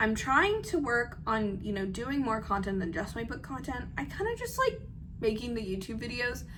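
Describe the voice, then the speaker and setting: A woman with a fairly high pitch is heard amid audible room echo and noticeable background noise. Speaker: aspiring novelist and book content creator. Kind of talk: casual vlog chat. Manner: fast; filler-heavy, lots of 'like'.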